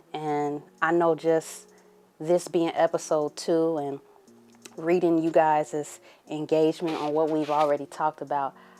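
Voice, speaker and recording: Over music in the background, a woman speaks at a moderate pace in a very deep, low pitch with flat, monotone intonation. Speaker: podcast host. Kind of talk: solo podcast monologue. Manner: casual, conversational; halting, stumbling over words.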